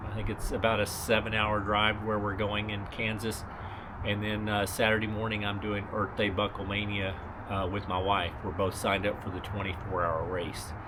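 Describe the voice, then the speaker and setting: Speaking at a moderate pace in a fairly low pitch, a man keeps a monotone, flat intonation amid noticeable background noise and audible room echo. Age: 60s. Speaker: ultra runner vlogger. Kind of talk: casual vlog update. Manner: relaxed, with many fillers.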